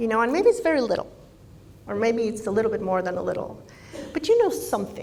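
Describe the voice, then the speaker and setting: The speaker is a woman. Her words carry audible room echo. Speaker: speaker/coach. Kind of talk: conference talk. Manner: warm, light-hearted.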